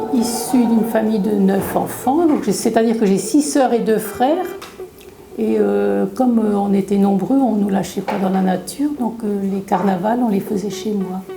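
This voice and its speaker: Over noticeable background noise and audible room echo, a woman talks at a fairly slow pace and medium pitch with ordinary pitch variation. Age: 60s. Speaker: retiree, amateur theatre participant. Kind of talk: interview testimony.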